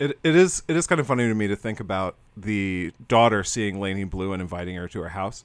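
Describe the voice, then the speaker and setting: Speaking with an American accent, this is a plain, everyday voice with ordinary pitch variation. The pace is fairly quick, with hardly any pauses. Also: man, fairly low pitch for a man. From Florida. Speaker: podcast host. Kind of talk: casual chat.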